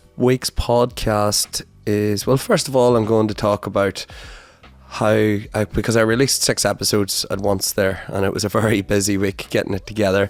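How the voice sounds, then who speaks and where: A man with an Ulster accent speaks in a fairly low pitch with fairly even intonation. The sound is dry and close with no echo, and background noise is noticeable. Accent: Irish (Ulster). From Northern Ireland, Donegal. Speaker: podcast host. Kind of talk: casual monologue.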